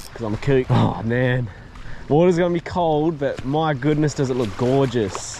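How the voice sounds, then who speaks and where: Over noticeable background noise, a man with an Australian accent talks at a fairly quick pace. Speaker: fishing youtuber. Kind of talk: casual vlog narration. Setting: outdoors, wading in the ocean. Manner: monotone.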